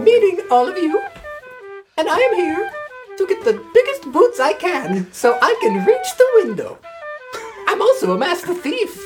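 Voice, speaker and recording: A woman performs a put-on character voice at an extremely high pitch and a moderate pace, with long, frequent pauses. Clear music plays in the background. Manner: cheerful, rambling.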